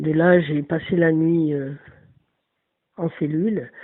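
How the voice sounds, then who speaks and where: This woman's voice is very deep and low in pitch. She talks at a very slow pace. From northern France. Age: 60s. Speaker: person telling her life story. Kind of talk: personal testimony. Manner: halting, many hesitations.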